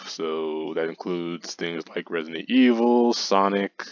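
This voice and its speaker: A man with a very deep, low pitch speaks with ordinary pitch variation over a quiet background. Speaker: gaming YouTuber. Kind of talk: gameplay commentary. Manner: halting, stammering.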